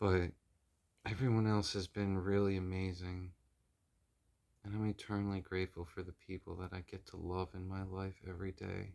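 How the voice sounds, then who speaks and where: A man's very deep, low voice, monotone and flat, at a moderate pace with long, frequent pauses, on a very clean recording with a silent background. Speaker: spiritual tarot reader. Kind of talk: casual spiritual vlog. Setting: at home in apartment. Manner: halting.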